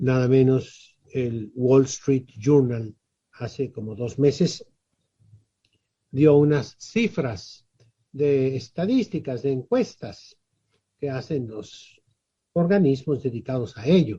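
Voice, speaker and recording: The speaker has a dark, mellow tone and ordinary pitch variation, somewhat breathy, moving at a very slow pace with long, frequent pauses. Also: man, medium pitch for a man. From Mexico, Tijuana (Baja California). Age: 70s. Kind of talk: interview.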